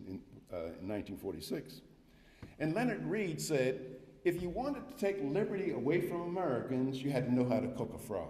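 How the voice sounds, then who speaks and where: A man speaks with very wide swings in pitch. There is audible room echo, and he leaves long, frequent pauses. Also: moderate pace. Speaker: guest lecturer, economics professor. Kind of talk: lecture. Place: hall. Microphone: podium.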